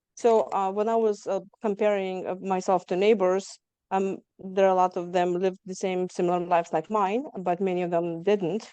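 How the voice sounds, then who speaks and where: Dark, mellow tone from a woman with a slight Lithuanian accent, medium pitch, fairly even intonation and a fairly quick pace. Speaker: trauma survivor guest. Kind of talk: interview testimony.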